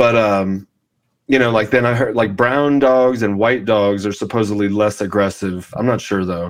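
A man with an American accent has an ordinary speaking voice and a fairly low pitch. He talks at a moderate pace against a quiet background. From Southern California. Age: 40s. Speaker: podcast host. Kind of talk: casual interview.

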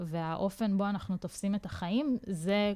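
This is an unremarkable speaking voice with ordinary pitch variation. It moves at a moderate pace. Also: woman. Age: 30s. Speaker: social media marketer and podcast co-host. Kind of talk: casual chat.

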